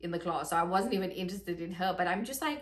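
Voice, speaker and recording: An animated tone with a South African accent and audible room echo. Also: woman. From South Africa, Johannesburg. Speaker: vlogger. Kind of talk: casual vlog monologue. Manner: chatty, animated.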